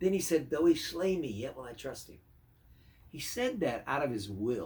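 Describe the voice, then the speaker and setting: The voice is somewhat breathy, with very wide pitch swings and big swings in loudness at a moderate pace. Room echo is audible. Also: man, fairly high pitch for a man. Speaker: pastor. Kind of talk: devotional sermon.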